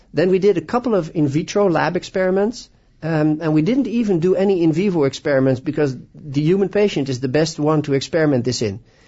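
A man with a Dutch accent talks at a very fast pace and fairly high pitch. His intonation is lively while his loudness stays very even. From Netherlands. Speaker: orthopedic surgeon. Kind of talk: radio interview. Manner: enthusiastic.

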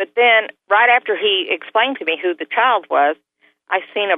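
Her pitch sits fairly high. The woman speaks with a Southern US accent. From US South. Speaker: near-death experiencer. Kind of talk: testimony. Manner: animated.

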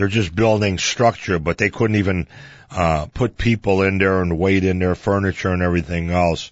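In an American accent, a man speaks with a very deep, low pitch. His intonation is fairly even and his loudness very even. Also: moderate pace. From Chicago. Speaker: radio host. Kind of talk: radio history talk show monologue. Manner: casual, with frequent fillers.

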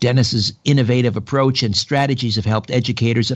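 A man with a Canadian accent speaks at a medium pitch with ordinary pitch variation in a plain, everyday voice. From Canada, Ontario. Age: 50s. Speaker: radio host. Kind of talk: talk radio interview. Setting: home, mother's dining room table.

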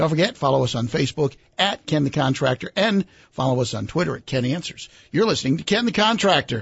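This man's voice sits at a fairly high pitch and swings very widely in pitch. He speaks at a very fast pace and sounds somewhat breathy. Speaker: radio co-host. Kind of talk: radio hosting and announcements.

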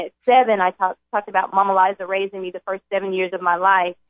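A woman with a medium-pitched voice and a Southern US accent, talking at a very fast pace. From US South (Jackson, Mississippi). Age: young. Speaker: addiction center corporate trainer. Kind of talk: testimony. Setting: radio studio.

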